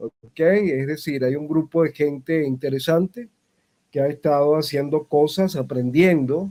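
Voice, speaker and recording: Dry and close with no echo, a man's fairly high voice has a dark, mellow tone, ordinary pitch variation and a fairly slow pace. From Venezuela. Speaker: voice actor and acting teacher. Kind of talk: interview. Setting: video call. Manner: formal. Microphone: dropping connection.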